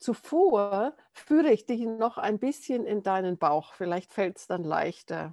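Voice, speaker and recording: A woman speaks with very wide pitch swings against a quiet background, the sound dry and close with no echo. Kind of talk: guided meditation. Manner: calm, gentle, slow-paced guiding.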